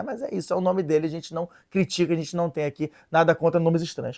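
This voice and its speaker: On a very clean recording with a silent background, a man speaks in an animated tone, the sound dry and close with no echo. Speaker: religious video presenter. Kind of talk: casual explainer chat. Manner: hesitant, many fillers.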